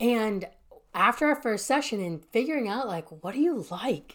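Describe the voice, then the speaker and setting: Her tone is animated, her pitch fairly high, and her pitch swings very wide as this woman speaks at a moderate pace. The recording is very clean, with a silent background. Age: 20s. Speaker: life coach. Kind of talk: solo podcast monologue.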